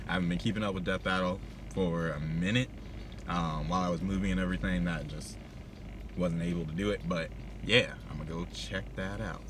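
Very wide pitch swings at a fairly quick pace, in a dry sound with no echo and noticeable background noise. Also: man. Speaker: reaction vlogger. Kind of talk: casual vlog chat. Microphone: phone near.

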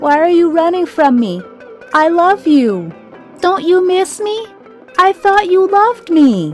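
A woman puts on a shrill character voice at an extremely high pitch, speaking at a fairly slow pace over clear background music. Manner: pleading.

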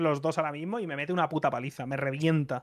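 Against a quiet background, a man with a Spanish accent speaks at a very fast pace, with a fairly high pitch and fairly even intonation. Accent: Spanish (Spain). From Spain. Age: 30s. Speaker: streamer. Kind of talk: casual chat. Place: home room. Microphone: studio mic.

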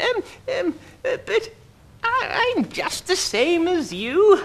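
A female-sounding, put-on character voice pitched extremely high for a woman.

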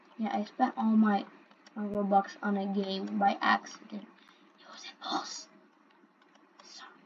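Over noticeable background noise, a woman at medium pitch speaks at a fairly slow pace with fairly even intonation, big swings in loudness, and long, frequent pauses. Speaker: gaming YouTuber. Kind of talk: gameplay commentary. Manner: rambling.

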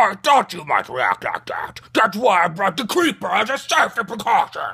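A man puts on a high-pitched character voice, speaking at a moderate pace. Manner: excited, whiny.

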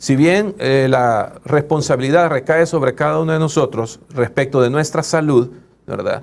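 At a fairly slow pace, a man speaks with a fairly high pitch and ordinary pitch variation. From El Salvador. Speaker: doctor and union leader. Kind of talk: interview. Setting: studio. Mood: calm, explanatory. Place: studio. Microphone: lapel.

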